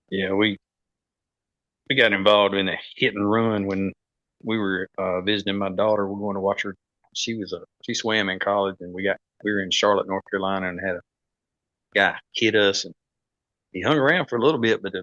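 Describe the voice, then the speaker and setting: A man's fairly low pitch and fairly even intonation at a fairly quick pace, broken by long, frequent pauses. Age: 50s. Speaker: competitive archer and podcaster. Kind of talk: casual chat.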